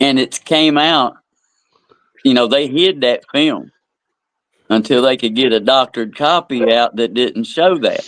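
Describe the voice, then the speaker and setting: A man at medium pitch with an American accent, at a very slow pace. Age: 60s. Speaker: podcast co-host. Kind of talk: casual chat.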